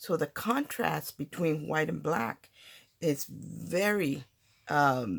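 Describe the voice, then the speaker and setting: Very slowly, a woman speaks with vocal fry and a very deep, low pitch that swings very widely. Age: 60s. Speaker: papercraft channel host. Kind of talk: tutorial. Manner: casual, halting with fillers.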